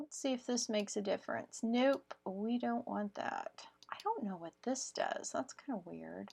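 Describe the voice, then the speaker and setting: Speaking at a fairly slow pace, a woman talks with hardly any pauses. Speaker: crafting YouTuber. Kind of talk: tutorial. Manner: casual, with fillers.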